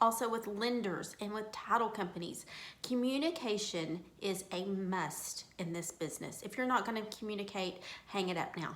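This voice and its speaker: Audible room echo surrounds this woman's voice. Her pitch is medium, with ordinary variation. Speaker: real estate broker training agents. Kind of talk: informal training talk to own agents. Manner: fast; earnest, emphatic.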